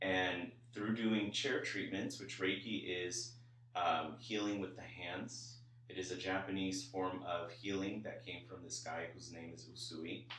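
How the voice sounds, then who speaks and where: A man with an American accent speaks fairly slowly in a fairly low voice, his intonation lively and his loudness swinging widely, with audible room echo and noticeable background noise. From Los Angeles (Koreatown). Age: 20s. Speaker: psychic medium. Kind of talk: spiritual reading.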